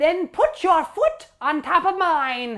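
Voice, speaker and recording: A woman uses a put-on character voice pitched extremely high. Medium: stage play. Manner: exasperated, pleading.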